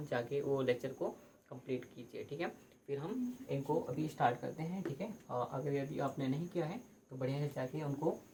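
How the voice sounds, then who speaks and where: There's audible room echo as a man talks at a moderate pace with a fairly high pitch. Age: 20s. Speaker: teacher. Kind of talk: lecture. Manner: hesitant, repetitive.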